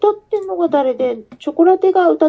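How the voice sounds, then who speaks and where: A woman talks at a fairly quick pace. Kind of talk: casual chat.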